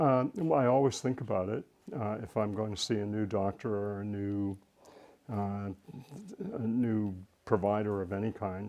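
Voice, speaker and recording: Speaking at a moderate pace with long, frequent pauses, a man uses a fairly low pitch, fairly even intonation and a dark, mellow tone. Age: 60s. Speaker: retired educator on aging interviewed. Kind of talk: interview. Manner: halting, many fillers.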